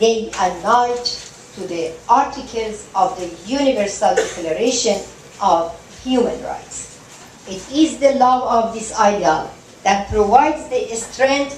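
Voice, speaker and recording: A woman with an Iranian accent, fairly high in pitch, with ordinary pitch variation and a very slow pace over noticeable background noise. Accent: Iranian (Persian). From southern Iran. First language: Persian. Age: 60s. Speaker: human rights activist and lawyer. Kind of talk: award acceptance speech. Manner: soft-spoken.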